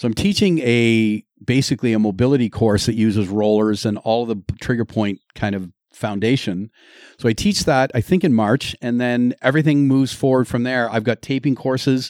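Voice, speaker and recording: In a normal speaking voice, a man with a Canadian accent talks at a moderate pace and medium pitch with ordinary pitch variation, the recording very clean with a silent background and a dry, close sound with no echo. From Ontario, Canada. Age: 50s. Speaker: taping educator and high school teacher. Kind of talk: casual interview chat. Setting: studio.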